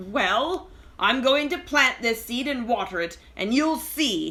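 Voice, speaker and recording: Putting on a character voice, a woman speaks high-pitched and fairly slowly, her pitch swinging very widely. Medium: read story. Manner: whining.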